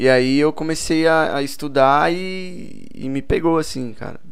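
Against audible room echo, a man talks at a fairly slow pace with hardly any pauses and ordinary pitch variation. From Boituva, São Paulo state, Brazil. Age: 20s. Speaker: musician. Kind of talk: casual chat.

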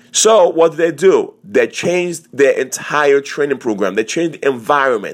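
This man has a fairly high pitch and an animated tone with lively intonation. The recording is very clean with a silent background. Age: 40s. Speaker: fitness podcast host and personal trainer. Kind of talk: motivational monologue.

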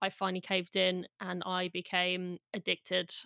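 In a dry, close recording with no echo, a woman speaks in a flat monotone with a bright, sharp tone. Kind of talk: casual podcast interview.

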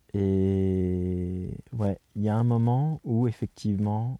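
The background is quiet as a man speaks with a dark, mellow tone. His pitch is fairly low and his intonation fairly even. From France, near Poitiers (Châtellerault). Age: 40s. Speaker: circus arts administrator. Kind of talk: interview, personal conversation. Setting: in a tent in the mountains. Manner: hesitant, many fillers.

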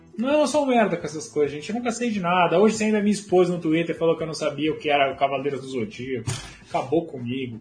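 Music in the background behind a man speaking very fast, fairly high in pitch, with very wide pitch swings. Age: 20s. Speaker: football livestream host. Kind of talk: casual livestream chat. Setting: home office livestream.

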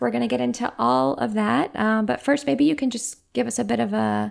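A woman talks at a moderate pace. Her recording is very clean, with a silent background. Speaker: podcast host. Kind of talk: casual interview.

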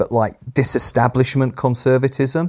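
A man with a Yorkshire accent speaks in a dark, mellow tone on a very clean recording with a silent background. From northern England, Sheffield. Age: 50s. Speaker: politics professor. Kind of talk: interview.

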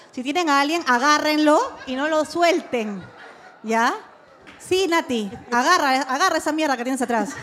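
Pausing long and often, a woman speaks at a moderate pace in a high pitch over noticeable background noise. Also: lively intonation. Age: 30s. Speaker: podcast co-host. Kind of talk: live podcast before audience, casual chat. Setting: live recording with audience.

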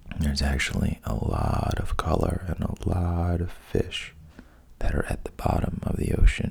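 A man's calm tone in a very deep, low pitch, over noticeable background noise. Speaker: sleep podcast host, storyteller. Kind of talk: bedtime storytelling. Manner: deliberately boring, monotone; slow, calm.

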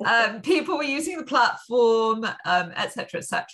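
A woman in a London accent speaks at a fairly slow pace, her bright, sharp tone carrying vocal fry. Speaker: business coach and entrepreneur. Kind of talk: interview.

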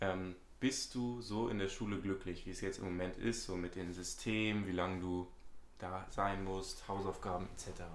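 A man speaks at a fairly slow pace with a very deep, low pitch. His intonation stays fairly even, and there is audible room echo. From Hamburg, northern Germany. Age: young. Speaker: student podcast host. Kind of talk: casual chat.

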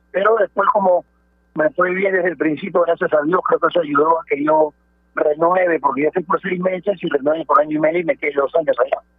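This man's pitch is high. He talks at a fairly quick pace. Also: fairly even intonation. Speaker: retired footballer. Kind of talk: radio interview.

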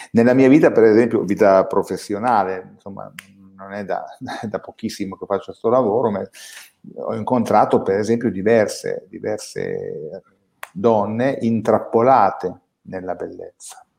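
A man speaks at a moderate pace, leaving long, frequent pauses, with big swings in loudness. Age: 50s. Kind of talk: casual chat.

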